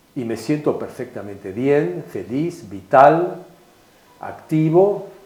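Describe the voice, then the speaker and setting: With audible room echo, a man speaks at a very slow pace in a fairly high pitch that swings very widely. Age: 70s. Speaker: philosopher and writer. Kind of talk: interview.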